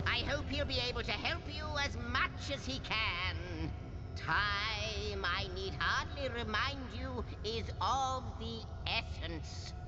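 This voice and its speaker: A man's put-on character voice at a fairly slow pace over loud background noise. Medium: game stream. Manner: grandiloquent, formal.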